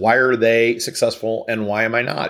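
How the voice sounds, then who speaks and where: A man with a Midwestern US accent talks at a medium pitch. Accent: US Midwest. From Kansas City. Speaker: business consultant. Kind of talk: interview.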